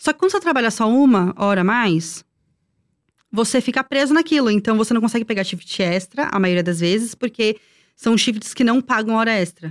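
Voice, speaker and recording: Using a plain, everyday voice, a woman with fairly high pitch speaks at a moderate pace with lively intonation and very even loudness, captured in a very clean recording with a silent background and a dry, close sound with no echo. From Brazil. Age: 30s. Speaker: former theme park worker. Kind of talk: casual chat.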